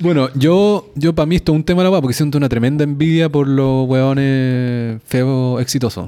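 At a moderate pace with hardly any pauses, a man in a normal speaking voice talks at a fairly high pitch, his loudness very even and his pitch varying in an ordinary way. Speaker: podcast co-host. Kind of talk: casual chat.

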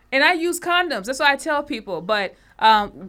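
Her tone bright and sharp, a woman speaks at a moderate pace with very wide pitch swings. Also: very clean recording, silent background. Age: 30s. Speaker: podcast co-host. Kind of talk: casual chat.

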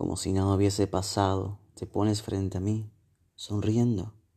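Against a quiet background, a man speaks at a fairly slow pace in a fairly low, somewhat breathy voice. His tone is dark, mellow and dramatic, yet his intonation stays monotone and flat. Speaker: poet. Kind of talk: spoken-word poetry reading, intimate and melancholic, addressed to a lost lover. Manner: soft, slow and wistful, dramatic pauses, emotional delivery.

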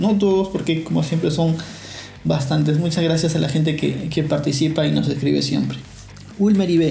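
A man's fairly high voice in a Peruvian accent, fairly quick and fairly even in intonation, with music in the background and audible room echo. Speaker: podcast host. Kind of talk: podcast monologue.

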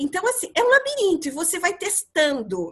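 A woman is speaking. Her pitch swings very widely. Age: 50s. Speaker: psychologist and career mentor. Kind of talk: casual podcast chat.

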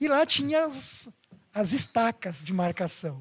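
A man's voice at an extremely high pitch moves through very wide pitch swings. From Brazil, born in Bahia, Japanese-Brazilian. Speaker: former Pathfinder club leader. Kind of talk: casual chat.

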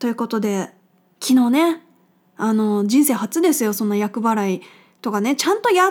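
A woman talks at a moderate pace with long, frequent pauses. She uses lively intonation. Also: fairly high pitch for a woman. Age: 30s. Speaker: podcast host living with a chronic illness. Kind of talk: casual solo radio talk. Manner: casual, chatty with laughter.

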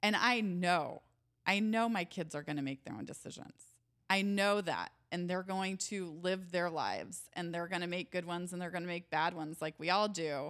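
Speaking at a moderate pace in an ordinary speaking voice, a woman keeps her fairly low pitch fairly even. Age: 40s. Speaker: author in recovery. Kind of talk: casual interview chat.

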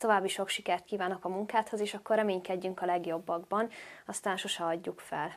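On a very clean recording with a silent background, a woman in a normal speaking voice talks at a fairly quick pace, medium in pitch, with fairly even intonation. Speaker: vlogger and interviewer. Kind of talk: interview.

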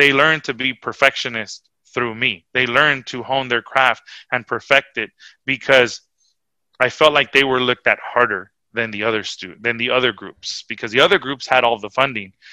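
A man with a normal speaking voice talks at a moderate pace and a medium pitch, with fairly even intonation and a dry, close sound with no echo. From Los Angeles (Huntington Park). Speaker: middle school band director. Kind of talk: casual interview chat.

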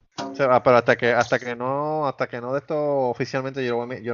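Very fast speech over music in the background. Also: man. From Puerto Rico, Caguas. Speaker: podcast co-host. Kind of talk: casual chat. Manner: animated.

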